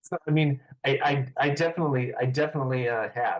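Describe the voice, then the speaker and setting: A somewhat breathy man at a moderate pace. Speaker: voice actor. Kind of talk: interview. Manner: halting, many fillers.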